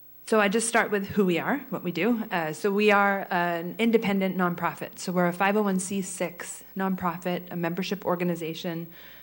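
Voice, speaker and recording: In a room with audible echo, a woman at a medium pitch talks at a fairly quick pace with fairly even intonation and hardly any pauses. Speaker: chamber of commerce president. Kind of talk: presentation. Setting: public meeting in a hall. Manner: fast.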